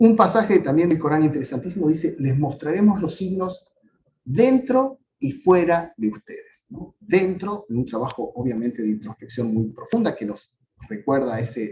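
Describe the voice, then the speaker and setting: With a dark, mellow tone and fairly high pitch, a man speaks at a moderate pace while his pitch swings very widely. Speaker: professor. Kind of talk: lecture.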